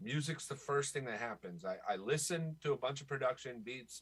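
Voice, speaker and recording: Speaking at a moderate pace, a man with an American accent has a plain, everyday voice at medium pitch with ordinary pitch variation. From Florida, US. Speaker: rapper and songwriter. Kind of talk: podcast interview.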